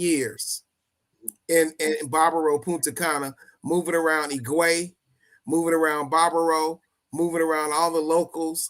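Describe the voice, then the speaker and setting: A man with an American accent, fairly high pitch, and bright, sharp tone at a fairly slow pace. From US Midwest, Chicago. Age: 60s. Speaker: traveler and charity organizer. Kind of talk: interview. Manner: halting.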